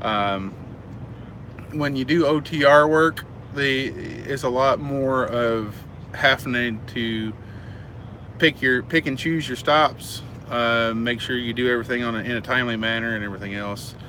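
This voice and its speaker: Over noticeable background noise, a man with an American accent speaks at medium pitch and a fairly slow pace, with ordinary pitch variation and long, frequent pauses. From United States. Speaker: truck driver and trainer. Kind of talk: live stream Q&A. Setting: live stream. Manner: halting, many fillers.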